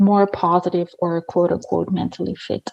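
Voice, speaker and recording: A woman with an Austrian accent and a dark, mellow tone at a moderate pace, in dry, close sound with no echo against a quiet background. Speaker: habit coach. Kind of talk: podcast interview.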